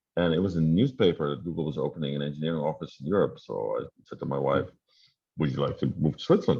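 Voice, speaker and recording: Speaking at a very fast pace with a Dutch accent, this voice shows ordinary pitch variation and big swings in loudness. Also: man. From Netherlands. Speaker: tech company founder and CEO. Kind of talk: interview. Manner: hesitant, many fillers.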